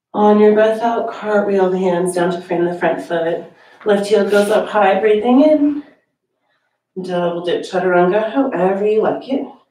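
Audible room echo surrounds speech that varies in pitch in an ordinary way. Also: woman. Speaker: yoga teacher. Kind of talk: guided meditation. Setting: online yoga class video. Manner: calm, soothing, slow and gently paced; soft-spoken, with long pauses between cues. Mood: calm, soothing. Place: home room.

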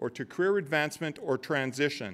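A man at a moderate pace, with lively intonation. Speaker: college president. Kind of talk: formal welcome speech. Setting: stage with audience. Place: hall. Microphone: podium.

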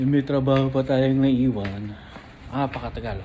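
There is light background noise here. A man speaks with ordinary pitch variation. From Philippines. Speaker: vlogger. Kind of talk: casual vlog narration. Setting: in a car. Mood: mildly impatient. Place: hall. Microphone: phone near.

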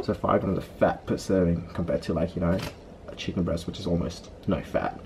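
With a fairly quick pace, a man speaks low for his sex in a dark, mellow tone, adding vocal fry over fairly even intonation.

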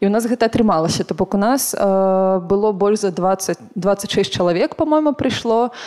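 Against a quiet background, a woman speaks at a moderate pace with a dark, mellow tone and very even loudness. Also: medium pitch for a woman, ordinary pitch variation, hardly any pauses. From Belarus. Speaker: volunteer coordinator; panelist. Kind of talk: panel discussion. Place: hall. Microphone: handheld.

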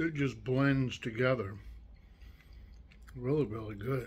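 Using vocal fry, a man talks at a fairly slow pace. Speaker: food reviewer. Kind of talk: casual review chat. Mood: pleased, relaxed. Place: home room. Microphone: phone near.

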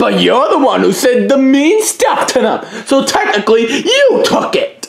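This cartoonish character voice moves at a fairly slow pace, full of vocal fry and big pitch swings.

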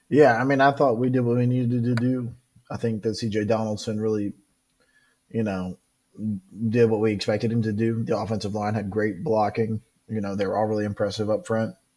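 A man with a fairly low pitch and a dark, mellow tone talks at a fairly quick pace with fairly even intonation. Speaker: sports podcast co-host. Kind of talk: casual sports chat. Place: home room. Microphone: video call.

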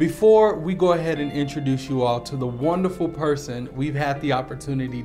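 Clear music in the background behind a man with a fairly high pitch at a moderate pace. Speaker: interviewer. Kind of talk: channel intro to camera.

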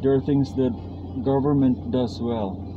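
A man's very slow speech amid noticeable background noise. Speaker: driver vlogger. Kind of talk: casual vlog chat. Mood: calm reflective opinions. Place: car. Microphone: camera far.

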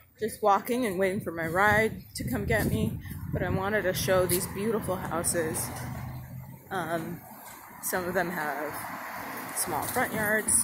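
Long, frequent pauses break up fairly slow speech, with loud background noise throughout. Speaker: walking tour vlogger. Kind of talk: casual vlog chat. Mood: admiring, relaxed. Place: street. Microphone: phone near.

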